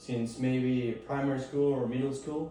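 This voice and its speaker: Against noticeable background noise and audible room echo, a man speaks at a moderate pace in a fairly high, monotone voice with flat intonation. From Mexico. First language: Spanish. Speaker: student. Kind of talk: class presentation. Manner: halting.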